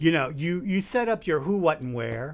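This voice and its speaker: Recorded very cleanly against a silent background, a man with an American accent speaks in a fairly high voice that swings very widely in pitch. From US South, Charleston, South Carolina. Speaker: comedian and improv performer. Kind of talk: podcast interview.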